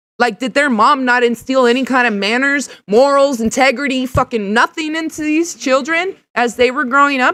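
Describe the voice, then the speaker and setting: Loud and at a moderate pace, a woman speaks at a high pitch with a bright, sharp tone and ordinary pitch variation. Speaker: live streamer reacting to videos. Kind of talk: live stream reaction rant. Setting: garage, live stream. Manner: animated.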